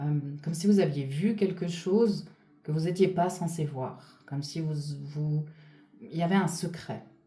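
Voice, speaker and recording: A fairly slow, dark, mellow voice with ordinary pitch variation, long, frequent pauses, and audible room echo. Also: woman, fairly low pitch for a woman. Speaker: spiritual channeler / energy reader. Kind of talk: guided reading. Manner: loud; hesitant, many fillers.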